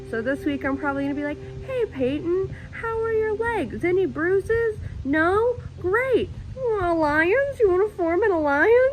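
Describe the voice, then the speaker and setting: A woman speaks loudly at an extremely high pitch. Her pitch swings very widely, and her pace is moderate. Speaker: reality game contestant. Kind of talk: confessional interview.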